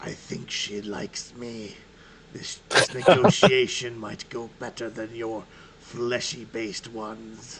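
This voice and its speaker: A man whispers in a raspy, put-on character voice at a fairly slow pace. Clear background noise is heard behind him. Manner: whispering out of the side of the mouth.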